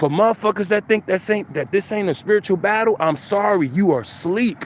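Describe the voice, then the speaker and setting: With an American accent, a man speaks at a fairly quick pace in a high pitch with ordinary pitch variation. Noticeable background noise runs behind him. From New York City, the Bronx. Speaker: spiritual content creator. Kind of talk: casual spiritual monologue. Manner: animated.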